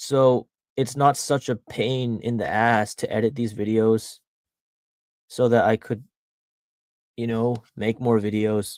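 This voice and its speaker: A man with an American accent talks at a fairly slow pace, his pitch in the middle range. His intonation is monotone and flat, broken by long, frequent pauses. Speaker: streamer. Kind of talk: casual live stream chat. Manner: halting; many filler words.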